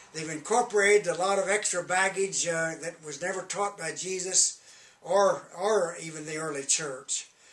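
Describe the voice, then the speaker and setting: A man's high-pitched voice with big swings in loudness, amid noticeable background noise. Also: fairly even intonation, moderate pace. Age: 80s+. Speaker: self-styled prophet and religious author. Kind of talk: direct-to-camera religious message promoting books. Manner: halting, frequent hesitations.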